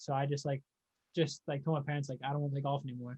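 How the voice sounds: A man with a medium pitch and a slightly mellow tone talks at a very fast pace, his pitch barely moving.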